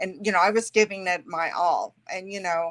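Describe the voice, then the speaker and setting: A woman's medium-pitched voice, bright and sharp in tone, at a moderate pace with monotone, flat intonation, in a dry, close sound with no echo. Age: 60s. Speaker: podcast guest sharing weight loss journey. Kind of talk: interview testimony. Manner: hesitant, many fillers.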